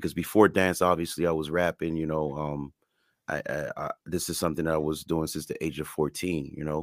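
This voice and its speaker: A man's very deep, low voice in a flat monotone, fairly quick, with a dry, close sound and no echo. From Montreal, Quebec, Canada. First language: French and Creole. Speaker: hip hop artist and dancer. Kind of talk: casual interview chat. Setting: recorded remote interview. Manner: halting, with repeated words and fillers.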